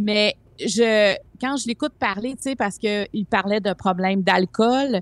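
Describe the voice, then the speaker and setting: A woman with a plain, everyday voice, fairly high in pitch with ordinary pitch variation, in a very clean recording with a silent background. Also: dry, close sound with no echo. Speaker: columnist. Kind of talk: casual chat.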